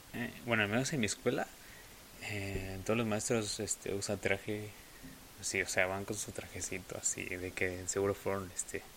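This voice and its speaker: Pausing long and often, a man talks at a fairly slow pace with a fairly low pitch and fairly even intonation. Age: young. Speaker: podcast host. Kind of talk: casual monologue. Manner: hesitant.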